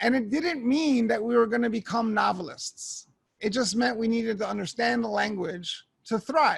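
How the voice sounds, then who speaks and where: A man's high voice with a Spanish accent, at a moderate pace. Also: ordinary pitch variation. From New York. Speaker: education technology evangelist. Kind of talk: keynote talk.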